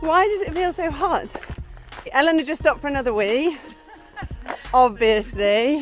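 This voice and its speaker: Over faint background music, a woman talks at a moderate pace in a high voice, the sound dry with no echo. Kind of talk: casual vlog chat. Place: open country. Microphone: phone near.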